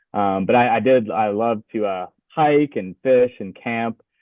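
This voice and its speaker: This is a man speaking with an American accent. The rise and fall of his pitch is ordinary. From Louisiana, US South. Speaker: graduate student, waterfowl researcher. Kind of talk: podcast interview. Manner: hesitant, many fillers.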